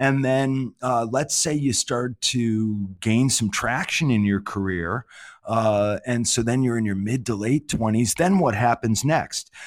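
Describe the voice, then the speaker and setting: With a normal speaking voice and an American accent, a man talks fairly slowly at a medium pitch with ordinary pitch variation and hardly any pauses, on a very clean recording with a silent background. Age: 50s. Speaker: management consultant and author. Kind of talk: interview.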